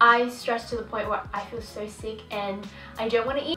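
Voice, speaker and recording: A woman speaks with fairly even intonation over faint background music. The room gives audible echo. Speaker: vlogger. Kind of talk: casual vlog chat. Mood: candid, reflective storytelling. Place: home room.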